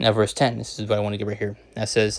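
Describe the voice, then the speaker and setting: Vocal fry from a man talking at a fairly quick pace. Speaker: religious teacher. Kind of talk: scripture lesson. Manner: fast; hesitant, many fillers.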